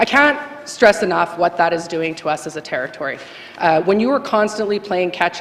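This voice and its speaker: Noticeable background noise fills the recording. Through it, a woman talks at a fairly quick pace. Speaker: legislative assembly member. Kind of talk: farewell speech in legislature. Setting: legislative chamber. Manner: fast.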